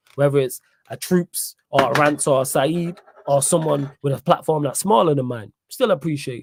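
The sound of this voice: A man's fairly high voice in a Manchester accent at a moderate pace, dry and close with no echo. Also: ordinary pitch variation, big swings in loudness. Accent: Mancunian northern English.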